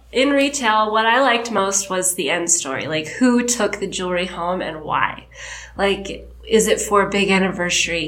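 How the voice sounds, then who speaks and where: With ordinary pitch variation and a medium pitch, the woman keeps a moderate pace while noticeable background noise and audible room echo fill the recording. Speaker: creative director. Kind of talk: casual interview. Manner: halting.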